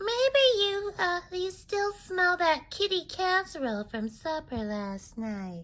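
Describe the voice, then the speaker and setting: A female-sounding voice does a squeaky put-on character voice at an extremely high pitch, with very wide pitch swings and a fairly slow pace. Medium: read story.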